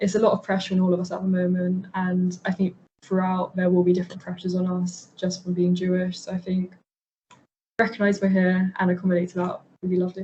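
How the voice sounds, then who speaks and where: A woman speaking very fast at a medium pitch, somewhat breathy, in a monotone, flat delivery. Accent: London. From north London. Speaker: university student. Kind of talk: interview.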